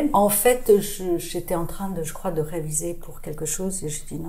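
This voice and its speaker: Speaking at a moderate pace amid audible room echo, a woman has a fairly low pitch, a dark, mellow tone and fairly even intonation. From international childhood, born in Boston, then England, France from age 13. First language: not French (speaking French). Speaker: radiologist and short-story writer. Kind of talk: podcast interview. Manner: hesitant, many fillers and repetitions.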